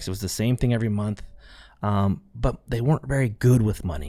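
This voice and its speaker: A man talks at a very fast pace with a fairly low pitch. The recording is very clean, with a silent background. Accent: American. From central California. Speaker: podcast host, entrepreneur. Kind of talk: solo podcast monologue. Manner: casual, conversational.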